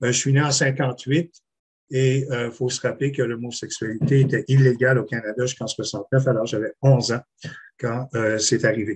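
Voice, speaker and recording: At a moderate pace, a man speaks somewhat breathily at a medium pitch with fairly even intonation. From Quebec City. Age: 60s. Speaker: panelist, swimming coach. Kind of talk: testimony. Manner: halting.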